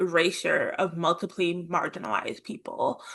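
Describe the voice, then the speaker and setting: Against a quiet background, a woman speaks at a medium pitch in a bright, sharp tone. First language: American Sign Language. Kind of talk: presentation. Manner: deaf speaker, raised speaking orally.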